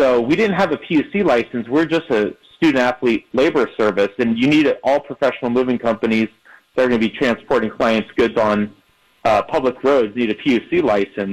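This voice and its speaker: In a plain, everyday voice, the speech keeps very even loudness at a fairly quick pace with ordinary pitch variation. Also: man, medium pitch for a man. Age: 30s. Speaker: moving company co-founder. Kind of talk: radio interview.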